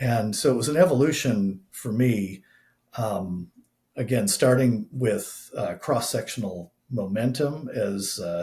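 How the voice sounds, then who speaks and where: A man speaks very slowly in a dark, mellow, somewhat breathy tone. His medium pitch shows ordinary variation. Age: 60s. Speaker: scientist and systematic trader. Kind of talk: podcast interview. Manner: many filler words, halting.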